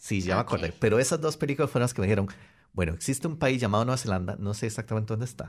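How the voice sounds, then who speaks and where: In a very clean recording with a silent background, a somewhat breathy voice races along at a very fast pace with lively intonation. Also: man, medium pitch for a man. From Costa Rica. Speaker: software engineer. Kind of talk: radio interview. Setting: radio studio.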